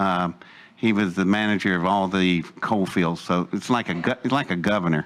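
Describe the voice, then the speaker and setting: A man with an Appalachian accent speaks at a moderate pace in a very deep, low pitch, keeping his intonation fairly even. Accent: Appalachian American. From West Virginia, Welch coalfields. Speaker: speaker telling his life story. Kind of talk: personal testimony talk. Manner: casual, hesitant with fillers.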